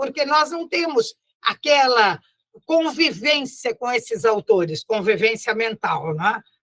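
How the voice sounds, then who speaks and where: A woman speaks very slowly in a raised, projected voice with a bright, sharp tone. Her pitch swings very widely, and the sound is dry and close with no echo. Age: 80s+. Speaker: spiritist lecturer and teacher. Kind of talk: lecture. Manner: warm, conversational.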